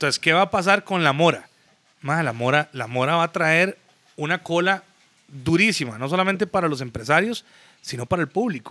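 Using an ordinary speaking voice, a man talks with a fairly high pitch. His intonation is lively, at a moderate pace. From Costa Rica, San José (Zapote area). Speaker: music promoter and businessman. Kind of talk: casual chat.

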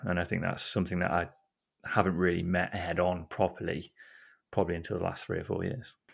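A man with a very deep, low pitch, talking at a very fast pace in a flat monotone, on a very clean recording with a silent background. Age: 20s. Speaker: podcast co-founder and football writer. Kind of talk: casual interview chat.

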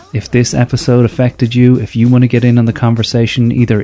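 Talking at a moderate pace and medium pitch, a man speaks with an Irish accent. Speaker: podcast host. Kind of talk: scripted narration. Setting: stage with audience.

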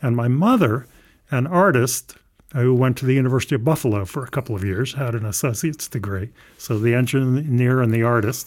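At a fairly quick pace, a man with an American accent uses a normal speaking voice, medium in pitch with ordinary pitch variation. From US South, Southern Maryland. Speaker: engineering professor. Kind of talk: interview.

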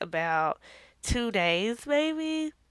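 A woman talks in a very clean recording with a silent background. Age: 20s. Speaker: podcast host. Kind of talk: casual monologue. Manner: hesitant, many fillers.

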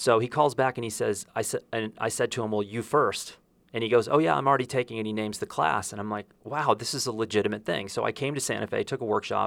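Very fast and with hardly any pauses, a man talks at medium pitch with vocal fry and ordinary pitch variation, on a very clean recording with a silent background. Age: 50s. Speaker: podcast host and photographer. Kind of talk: interview. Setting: on location in Santa Fe.

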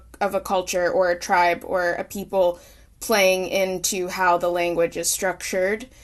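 With an Oklahoma accent, a woman at a medium pitch talks at a fairly slow pace over a quiet background. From Oklahoma, US. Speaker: singer-songwriter. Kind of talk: interview. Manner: halting, many fillers.

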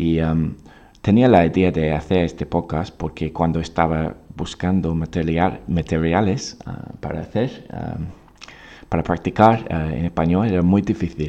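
The man's pitch is very deep and low. He speaks at a fairly slow pace with fairly even intonation. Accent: English. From England, Oxford. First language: English (speaking Spanish). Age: 20s. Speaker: English teacher. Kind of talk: podcast monologue. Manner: halting, many fillers and repeats.

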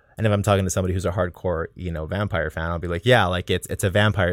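Very deep and low, a man's voice rushes at a very fast pace. He keeps a monotone, flat intonation in an American accent. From Texas. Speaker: filmmaker, actor and author. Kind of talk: interview. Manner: halting, many fillers.

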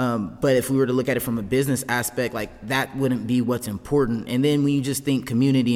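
With fairly even intonation, a man talks at a medium pitch in a plain, everyday voice. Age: 20s. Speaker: fitness coach and gym owner. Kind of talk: casual chat.

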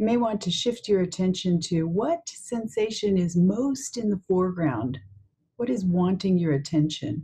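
A woman with a normal speaking voice, medium pitch, lively intonation and very even loudness. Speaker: meditation guide. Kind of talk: guided meditation. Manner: slow, calm, soothing, with long pauses; soft-spoken, gentle.

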